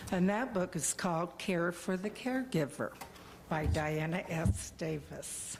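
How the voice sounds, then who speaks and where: A woman speaks at a fairly low pitch with vocal fry. Her intonation is lively and her pace fairly slow. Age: 70s. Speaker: member of the public addressing council. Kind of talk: public comment. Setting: city council meeting.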